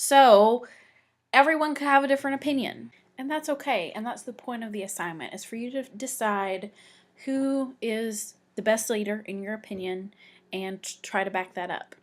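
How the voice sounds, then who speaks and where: A woman with fairly high pitch speaks in a plain, everyday voice at a moderate pace, with ordinary pitch variation and big swings in loudness, on a very clean recording with a silent background. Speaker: teacher. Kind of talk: tutorial.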